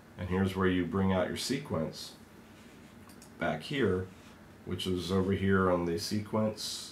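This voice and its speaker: Audible room echo carries a man's very deep, low voice. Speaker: software trainer. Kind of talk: tutorial.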